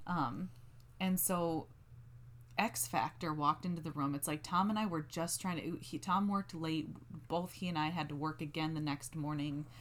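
Using vocal fry, a woman speaks at a moderate pace with a very deep, low pitch and ordinary pitch variation. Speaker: podcast co-host. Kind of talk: casual banter between partners. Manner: calmer, stays in a lower pitch range.

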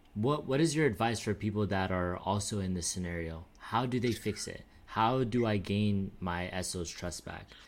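Speaking at a moderate pace with ordinary pitch variation, a man uses a normal speaking voice. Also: fairly low pitch for a man, hardly any pauses. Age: 20s. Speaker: podcast host. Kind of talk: casual chat.

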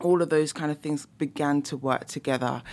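On a very clean recording with a silent background, a woman speaks with a London accent. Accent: London British English. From London, England. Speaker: professor and musicologist. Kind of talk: casual interview. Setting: studio.

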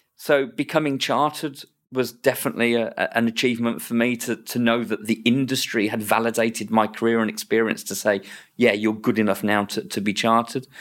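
This is a man with an English accent. His voice sits at a medium pitch. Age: 50s. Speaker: NHS estates director. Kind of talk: interview. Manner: repeats words, hesitant.

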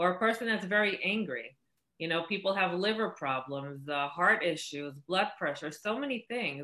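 Using an ordinary speaking voice, a woman talks at a moderate pace and medium pitch with lively intonation. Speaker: oracle healer, spiritual mentor. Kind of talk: explanatory interview answers. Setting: video call.

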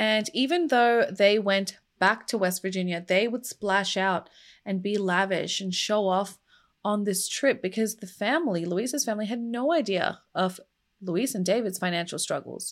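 In a very clean recording with a silent background, a woman with a plain, everyday voice talks at a moderate pace and medium pitch, with ordinary pitch variation. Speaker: true crime YouTuber. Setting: home studio. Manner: conversational, earnest storyteller, sometimes sighing or angry.

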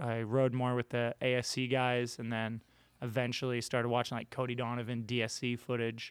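A man with an ordinary speaking voice, medium pitch and fairly slow pace, on a very clean recording with a silent background. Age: 30s. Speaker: pro scooter rider. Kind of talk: casual chat. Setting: studio.

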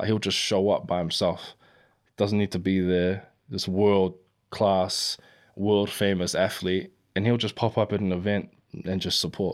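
A New Zealand accent, monotone and flat in intonation, on a very clean recording with a silent background. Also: man, fairly low pitch for a man. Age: 20s. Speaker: battle rapper. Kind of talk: casual chat.

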